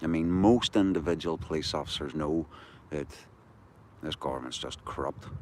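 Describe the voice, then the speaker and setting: A man with a very deep, low pitch speaks in a Belfast accent at a moderate pace. His pitch varies in an ordinary way, broken by long, frequent pauses. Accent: Belfast Northern Irish. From Northern Ireland. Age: 60s. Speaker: activist livestreamer. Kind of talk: casual livestream chat. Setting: outdoors walking the dog at night.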